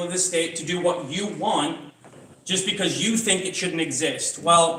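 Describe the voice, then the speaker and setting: Talking at a moderate pace, a man with a high-pitched voice is heard with audible room echo and noticeable background noise. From Britain. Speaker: political candidate. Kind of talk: campaign speech.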